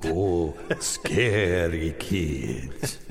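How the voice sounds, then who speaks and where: A man uses a put-on character voice pitched very deep and low, with clear background noise behind him. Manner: theatrical, spooky.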